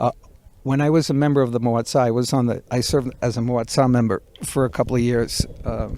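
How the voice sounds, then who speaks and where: A man's plain, everyday voice at medium pitch, fairly quick and fairly even in intonation. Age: 60s. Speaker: builder. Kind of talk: casual interview conversation. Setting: outdoors in a backyard.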